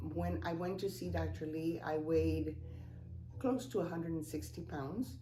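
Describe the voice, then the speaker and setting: With a Spanish accent and a very deep, low pitch, a woman speaks at a moderate pace amid audible room echo. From Cuba. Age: 70s. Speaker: customer giving a testimonial. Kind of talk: testimony. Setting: office. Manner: hesitant, many fillers.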